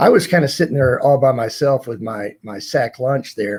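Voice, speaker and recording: A man with an American accent talks at a fairly high pitch, his voice somewhat breathy. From US South. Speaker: retired corporate executive. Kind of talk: interview storytelling.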